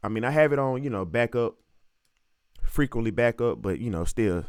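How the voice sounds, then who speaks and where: Speaking in a strong Southern US accent, a man sounds animated, with ordinary pitch variation. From US South, Alabama (Montgomery). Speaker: music producer. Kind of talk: tutorial. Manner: casual, animated.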